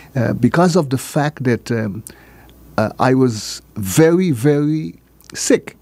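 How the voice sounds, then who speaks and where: At a very slow pace, a man speaks with a dark, mellow tone and medium pitch. His intonation is lively, and the sound is dry with no echo. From St. Martin (French side, Marigot). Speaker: former island politician and educator. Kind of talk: interview. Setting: radio studio. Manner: halting. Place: studio. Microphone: studio mic.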